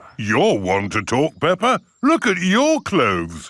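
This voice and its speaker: Over a silent background on a very clean recording, a man does a cartoonish character voice at a high pitch and a fairly slow pace. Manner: jolly, good-humoured.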